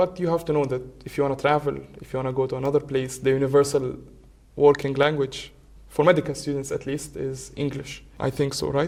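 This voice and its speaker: In an Arabic accent, a man with a fairly high pitch talks in a monotone, flat intonation. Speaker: medical student. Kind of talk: casual chat.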